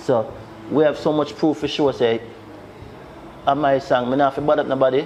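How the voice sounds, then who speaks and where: Over noticeable background noise, a man with a Jamaican accent talks at a fairly quick pace and fairly high pitch, with long, frequent pauses, monotone, flat intonation and very even loudness. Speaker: music producer. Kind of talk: interview. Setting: studio.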